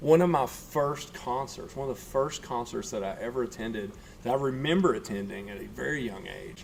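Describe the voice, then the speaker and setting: The speech moves at a fairly quick pace with a slight Southern US accent. Loudness swings widely and the intonation is lively. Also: man, medium pitch for a man. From US South, Middle Tennessee. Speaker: guitar teacher and tribute performer. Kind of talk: casual chat.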